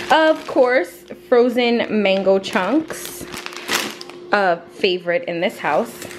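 Background music is audible. Over it, a woman talks. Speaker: mom vlogger. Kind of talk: casual vlog chat. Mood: upbeat, enthusiastic. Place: kitchen.

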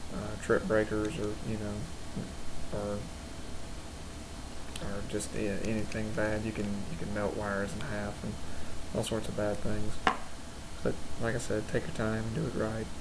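Against noticeable background noise, a man talks at a fairly slow pace, with long, frequent pauses. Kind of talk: tutorial. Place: workshop. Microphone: camera far.

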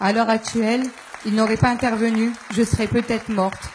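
Over light background noise, a woman talks at a fairly quick pace with a fairly high pitch. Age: 20s. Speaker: postal worker, stroke victim; audience member. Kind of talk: testimony. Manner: halting. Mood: emotional, indignant. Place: hall. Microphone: handheld.

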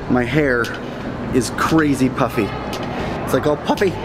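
Music sounds in the background. The speaker keeps a moderate pace. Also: man. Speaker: vlogger. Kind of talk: casual vlog chat. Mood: upbeat, playful. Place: hall. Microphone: phone near.

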